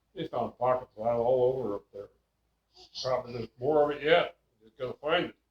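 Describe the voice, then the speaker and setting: A man with an American accent talks at a fairly quick pace and medium pitch, somewhat breathy and fairly even in intonation, with big swings in loudness and long, frequent pauses. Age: 80s+. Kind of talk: oral history interview, reminiscing. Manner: rambling, hesitant storytelling.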